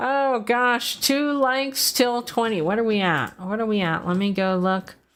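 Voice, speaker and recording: A woman with a fairly high voice speaks with lively intonation. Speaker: gaming streamer. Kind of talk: casual livestream gameplay chat. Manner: loud; animated.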